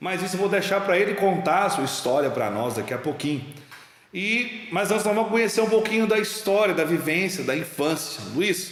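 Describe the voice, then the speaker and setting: A man with a high pitch and ordinary pitch variation at a moderate pace, amid noticeable background noise and audible room echo. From Minas Gerais, Brazil. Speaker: talk show host. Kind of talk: casual interview chat.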